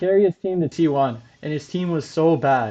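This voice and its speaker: Fairly slow delivery with ordinary pitch variation. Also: man. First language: not English. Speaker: esports podcast host. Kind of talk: casual chat. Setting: livestream.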